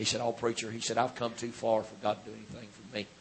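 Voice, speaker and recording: A man talks at a very fast pace with a Southern US accent. His pitch is medium. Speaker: Pentecostal preacher. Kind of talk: sermon. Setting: church.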